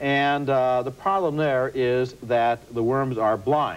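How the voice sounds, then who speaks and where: A man with lively intonation. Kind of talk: commentary.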